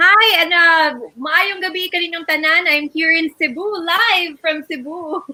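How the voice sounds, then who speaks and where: Her raised, projected voice sits at an extremely high pitch, with fairly even intonation and a fairly slow pace. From Philippines. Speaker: beauty pageant winner. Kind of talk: live online show co-hosting.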